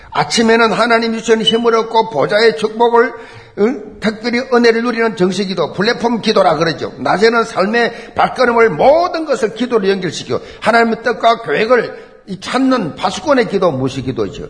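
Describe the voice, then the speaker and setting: Over noticeable background noise, a man speaks at an extremely high pitch and a moderate pace, with an animated tone and ordinary pitch variation. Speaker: preacher. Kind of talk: sermon. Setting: church. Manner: animated, emphatic preaching with repetition; rhetorical questions and exclamations.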